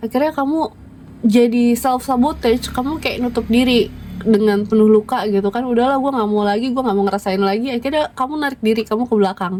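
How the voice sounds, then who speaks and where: Very fast speech from a woman with a fairly high voice and ordinary pitch variation. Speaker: tarot reader. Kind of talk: tarot reading monologue. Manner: casual, conversational.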